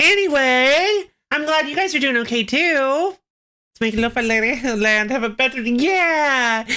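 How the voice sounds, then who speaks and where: At a fairly slow pace, a woman projects a raised voice with a high pitch, a bright, sharp tone, and ordinary pitch variation. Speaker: game streamer. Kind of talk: casual let's-play commentary. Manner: halting.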